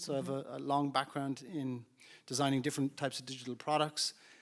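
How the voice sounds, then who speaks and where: In a very clean recording with a silent background, a man speaks with an Irish accent at a fairly high pitch. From Ireland. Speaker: startup founder and CEO. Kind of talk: panel discussion.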